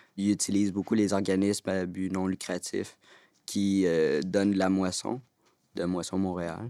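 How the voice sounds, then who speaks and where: With a very clean recording and silent background, a man speaks at a moderate pace in a fairly low pitch, the sound dry and close with no echo. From Quebec, Montreal. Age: 20s. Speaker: youth spokesperson. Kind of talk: round-table discussion.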